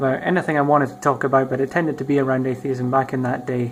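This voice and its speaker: Amid noticeable background noise, a man rattles along at a very fast pace in a medium pitch, his intonation monotone and flat. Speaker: YouTuber. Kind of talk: casual vlog monologue. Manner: halting, many ums and ahs.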